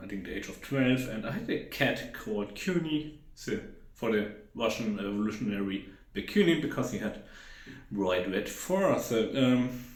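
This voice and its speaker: Moderate-paced speech from a man, with audible room echo and noticeable background noise. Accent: German. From Germany, Hesse. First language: German. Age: 30s. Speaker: YouTuber. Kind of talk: casual vlog talk. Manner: unscripted, rambling with fillers.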